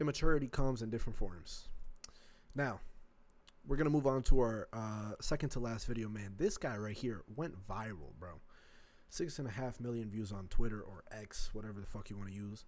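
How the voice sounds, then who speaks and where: This man's voice sits at a medium pitch, with ordinary pitch variation and a fairly quick pace. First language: not English. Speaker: reaction video creator. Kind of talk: casual reaction commentary. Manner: casual slangy.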